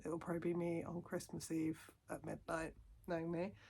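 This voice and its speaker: Very fast speech from a woman with a fairly low pitch and vocal fry. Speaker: vlogger and mother. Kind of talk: casual vlog to camera. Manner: animated.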